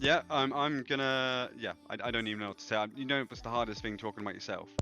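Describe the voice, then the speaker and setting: Music plays behind a man at medium pitch. He speaks at a very fast pace with fairly even intonation. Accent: Channel Islands. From Channel Islands (Jersey). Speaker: streamer. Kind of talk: casual chat. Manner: loud.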